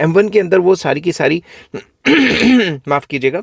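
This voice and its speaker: A man does a put-on character voice, hoarse and high-pitched. He talks at a moderate pace with lively intonation. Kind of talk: lecturing, explanatory.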